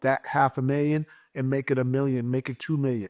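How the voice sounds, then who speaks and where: On a very clean recording with a silent background and a dry, close sound with no echo, a man with an American accent speaks at a medium pitch and a fairly quick pace in an animated tone. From US Midwest, Gary, Indiana. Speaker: mortgage lender. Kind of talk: motivational talk.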